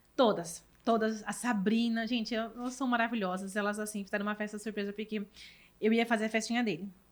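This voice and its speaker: An animated tone at a very fast pace. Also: woman, fairly high pitch for a woman. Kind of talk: casual interview.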